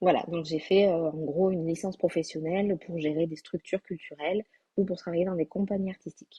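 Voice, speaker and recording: Somewhat breathy, a woman speaks quickly-ish at a fairly quick pace and fairly low pitch, with monotone, flat intonation. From southwestern France, Landes. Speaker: graphic designer and online entrepreneur. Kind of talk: interview. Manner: hesitant, many fillers.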